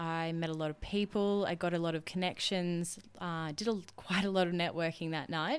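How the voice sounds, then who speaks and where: The recording is very clean, with a silent background. The speaker has an Australian accent and fairly even intonation. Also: woman, hardly any pauses. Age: 20s. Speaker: podcast host, cabinet maker. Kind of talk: solo podcast monologue. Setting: home recording on laptop.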